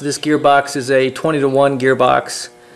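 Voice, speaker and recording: Faint music plays in the background while a man speaks at a moderate pace. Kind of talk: tutorial walkthrough. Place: workshop. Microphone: phone near.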